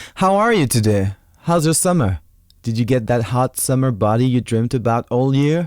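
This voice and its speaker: A man at medium pitch with a French accent, very even loudness, and a very clean recording with a silent background. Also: lively intonation, moderate pace. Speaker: podcast host. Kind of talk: podcast intro monologue.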